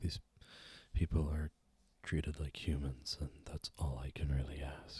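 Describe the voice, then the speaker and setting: A soft-spoken man with a very deep, low voice, flat monotone delivery and a somewhat breathy quality. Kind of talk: ASMR eating show, casual rambling to camera.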